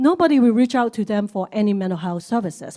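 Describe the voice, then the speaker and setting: Pitched fairly high, a woman speaks with a dark, mellow tone and lively intonation. She keeps a fairly quick pace. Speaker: community service leader. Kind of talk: panel discussion. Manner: fast.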